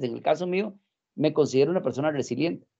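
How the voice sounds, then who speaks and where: The background is quiet. The voice has a dark, mellow tone and ordinary pitch variation. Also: man. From Costa Rica. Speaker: life coach. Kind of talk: interview.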